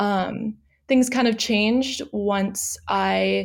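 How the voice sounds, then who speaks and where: A woman speaks with a Californian accent. Her pitch sits in the medium range. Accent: Californian American. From US West Coast, San Diego. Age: 20s. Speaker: recent graduate, environmental writer. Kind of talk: interview conversation. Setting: remote call.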